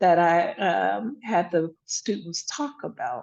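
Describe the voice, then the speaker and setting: Here is a woman speaking. Her intonation is lively. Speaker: emergency physician giving a talk. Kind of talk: webinar presentation. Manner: casual, conversational.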